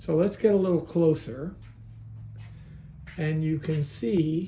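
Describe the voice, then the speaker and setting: A man's fairly high-pitched voice with a dark, mellow tone, at a very slow pace, with audible room echo. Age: 70s. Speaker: hobbyist video maker. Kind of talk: tutorial. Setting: garage.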